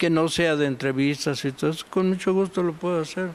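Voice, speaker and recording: Here a man talks at a high pitch. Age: 80s+. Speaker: art history professor. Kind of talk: TV interview.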